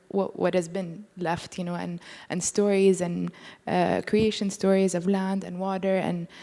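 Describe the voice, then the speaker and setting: Recorded very cleanly against a silent background, a woman with a non-native accent speaks at a medium pitch and a fairly slow pace in a dark, mellow tone. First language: not English. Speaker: artist. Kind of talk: panel discussion. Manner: hesitant, many fillers.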